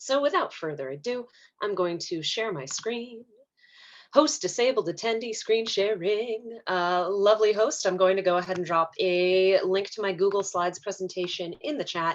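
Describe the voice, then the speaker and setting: Her intonation is lively, at a medium pitch for this woman. The background stays quiet. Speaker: therapist. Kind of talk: presentation. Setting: video call. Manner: fast.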